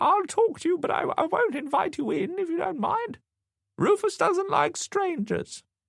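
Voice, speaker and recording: Putting on a squeaky character voice, a man talks at a moderate pace with an extremely high pitch. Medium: read story. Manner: suspicious, querulous.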